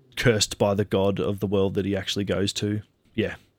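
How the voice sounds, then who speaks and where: The voice carries an Australian accent. Its intonation is monotone and flat. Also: man. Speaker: IT worker and anime fan. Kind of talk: casual chat. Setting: remote recording studio.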